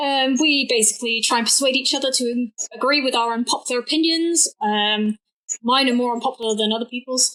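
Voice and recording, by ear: A woman speaks at a fairly quick pace with a fairly bright tone. Her pitch varies in an ordinary way. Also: fairly high pitch for a woman.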